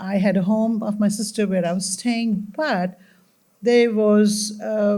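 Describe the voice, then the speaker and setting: A woman's somewhat breathy voice at medium pitch, dark and mellow in tone, with monotone, flat intonation. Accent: slight Indian. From India. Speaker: community panelist. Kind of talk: panel discussion.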